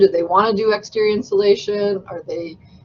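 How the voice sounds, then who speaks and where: In a plain, everyday voice, a woman talks with a medium pitch. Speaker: building industry consultant. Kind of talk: guest lecture. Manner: casual, with many fillers.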